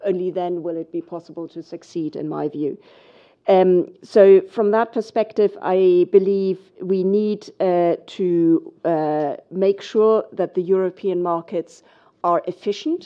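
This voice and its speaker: Speaking fairly slowly with a German accent, a woman holds a medium pitch and fairly even intonation. Her loudness swings widely. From Germany. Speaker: financial regulator. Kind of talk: panel discussion. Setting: conference stage with audience.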